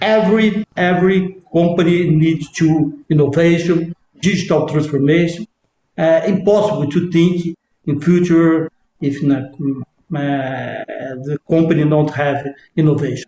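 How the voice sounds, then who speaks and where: A man speaks at a fairly slow pace with a dark, mellow tone and fairly even intonation, in a dry, close sound with no echo. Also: fairly high pitch for a man. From Brazil, Minas Gerais. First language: Portuguese. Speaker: startup company founder. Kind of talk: interview. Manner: halting, hesitant.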